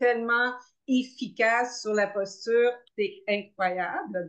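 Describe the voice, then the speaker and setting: A woman speaks in an ordinary speaking voice, fairly high-pitched, with fairly even intonation. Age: 60s. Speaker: orthotherapist and pilates instructor. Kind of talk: interview.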